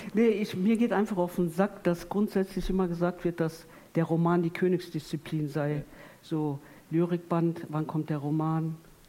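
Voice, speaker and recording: This woman has a fairly low pitch and a dark, mellow tone, talking at a moderate pace. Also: fairly even intonation. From Ruhr area, Duisburg. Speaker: poet. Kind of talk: panel discussion on stage. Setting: theatre stage with audience.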